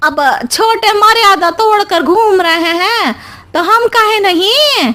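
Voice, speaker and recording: A cartoonish character voice from a woman, extremely high-pitched, with lively intonation and a fairly slow pace. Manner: gossipy, theatrical, scheming.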